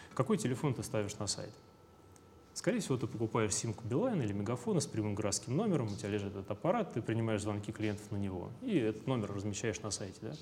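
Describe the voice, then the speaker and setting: Somewhat breathy, a man speaks at a very fast pace. His pitch is medium, with ordinary variation. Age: 20s. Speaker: company founder. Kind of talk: interview.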